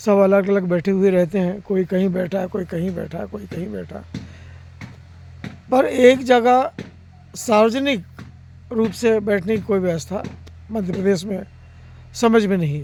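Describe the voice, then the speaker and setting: With music in the background, a man talks at a high pitch with big swings in loudness. He leaves long, frequent pauses. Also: ordinary pitch variation. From Madhya Pradesh, India (Narmadapuram district village). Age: 60s. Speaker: senior journalist. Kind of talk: public address on journalists' issues.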